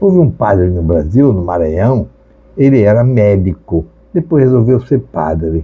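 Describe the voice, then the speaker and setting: A somewhat breathy voice at a fairly slow pace with very wide pitch swings. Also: man, fairly low pitch for a man. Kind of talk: sermon.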